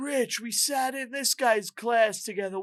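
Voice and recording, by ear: In a put-on character voice, a man pushes his pitch extremely high. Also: moderate pace. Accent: New York.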